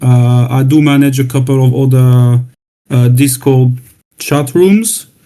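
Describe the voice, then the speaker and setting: This man speaks with a French accent in a dark, mellow tone. His pace is fairly slow. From France. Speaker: new community member. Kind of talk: self-introduction. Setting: online voice chat room. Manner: hesitant, repeating words. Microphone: new laptop.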